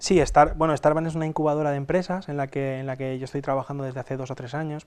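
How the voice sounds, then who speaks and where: Fairly even intonation marks this man's speech. He talks at a very fast pace. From Spain, Alicante interior (Castalla). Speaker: entrepreneur and usability expert. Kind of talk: interview. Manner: halting, many repetitions.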